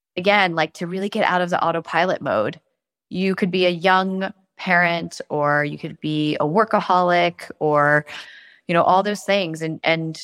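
A woman uses a normal speaking voice, fairly low in pitch with ordinary variation, at a moderate pace. The recording is very clean with a silent background, and the sound is dry and close with no echo. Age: 40s. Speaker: investor and startup founder. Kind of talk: casual chat.

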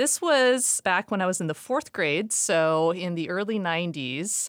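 A woman with an American accent and fairly low pitch speaks in an unremarkable speaking voice with lively intonation at a fairly slow pace, on a very clean recording with a silent background and a dry, close sound with no echo. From US Pacific Northwest, Seattle. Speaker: retail sustainability executive. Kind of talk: interview.

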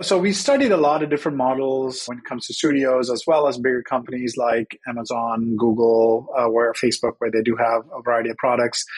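Fairly quick delivery with hardly any pauses, ordinary pitch variation, and noticeable background noise. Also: man, medium pitch for a man. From Sri Lanka. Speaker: tech product executive. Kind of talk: interview.

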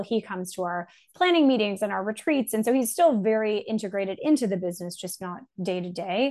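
A woman speaks in a normal speaking voice at a fairly quick pace, with a Canadian accent. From Canada. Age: 30s. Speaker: startup founder and CEO. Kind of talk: interview.

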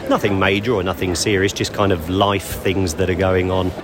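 A man with a British accent speaks as music plays in the background. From UK. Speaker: tourist interviewed. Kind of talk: casual interview chat. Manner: reserved, hesitant.

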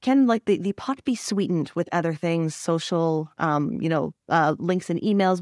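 A woman with an unremarkable speaking voice speaks at a fairly low pitch with ordinary variation. The sound is dry and close with no echo, on a very clean recording with a silent background. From Canada. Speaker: podcast host. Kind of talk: interview.

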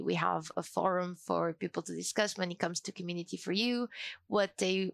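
A woman with an unremarkable speaking voice talks at a moderate pace, her pitch fairly low. The recording is very clean with a silent background, and the sound is dry and close with no echo. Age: 20s. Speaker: community officer at a software company. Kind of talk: interview.

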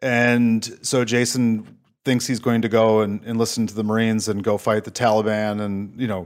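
In a Minnesota accent, a man talks with a fairly low pitch and monotone, flat intonation. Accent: Upper Midwest (Minnesota) American. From Minnesota, Saint Paul. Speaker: government relations consultant, former Marine. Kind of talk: casual interview.

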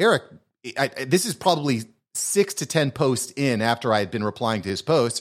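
At a moderate pace, a man with a fairly high pitch and lively intonation talks in a plain, everyday voice. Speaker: podcast agency founder and podcast host. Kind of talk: casual interview chat.

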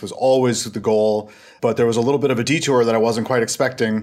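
Speaking at a very fast pace, a man with an American accent has a fairly low pitch. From Minnesota. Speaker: government relations consultant. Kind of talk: interview. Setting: remote call.

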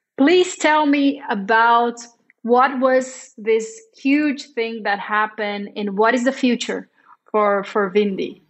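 A woman with a Portuguese accent, fairly high in pitch with ordinary pitch variation, at a very slow pace. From Brazil. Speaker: marketing director, interviewer. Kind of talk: interview. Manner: hesitant, many fillers.

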